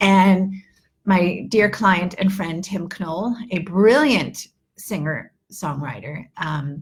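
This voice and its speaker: Speaking with an American accent, a woman has a medium-pitched, somewhat breathy voice. Her pace is very slow and her pitch varies in an ordinary way. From New York. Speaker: English teacher. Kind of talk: live online lesson. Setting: livestream. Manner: animated.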